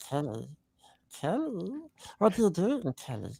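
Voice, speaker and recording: A put-on character voice at a middle pitch. It moves at a moderate pace. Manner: annoying, pestering.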